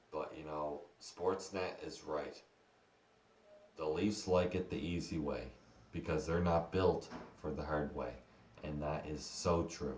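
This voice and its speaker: Very deep and low, a man's voice carries vocal fry and fairly even intonation as he speaks at a fairly slow pace. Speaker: hockey fan commentator. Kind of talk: casual talk to camera. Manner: stuttering.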